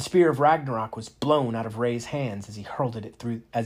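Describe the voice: The pitch varies in an ordinary way as someone reads aloud plainly.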